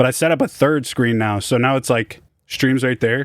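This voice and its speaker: Speaking with an American accent, a man keeps a moderate pace and fairly even intonation. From San Jose, California. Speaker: music producer streaming. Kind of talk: livestream chat reading comments. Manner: casual, slangy.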